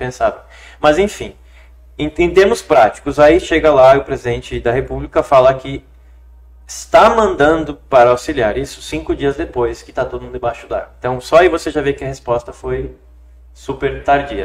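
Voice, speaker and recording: Talking at a moderate speed, a man lets his loudness swing widely. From Rio Grande do Sul, Brazil. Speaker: lawyer and city council pre-candidate. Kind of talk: podcast interview answer.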